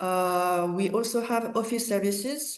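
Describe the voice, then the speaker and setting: A woman with a French accent, her voice fairly high-pitched, against a quiet background. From France / Cambodia. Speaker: market access manager. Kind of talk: business webinar presentation. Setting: online webinar.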